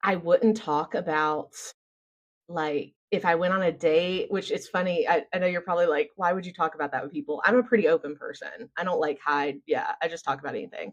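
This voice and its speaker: A woman with an American accent speaks in an animated tone at a fairly quick pace, her voice fairly low. Her pitch varies in an ordinary way over a quiet background. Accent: Southern US, strong but toned down now. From US South. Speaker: business founder and systems consultant. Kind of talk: casual interview chat.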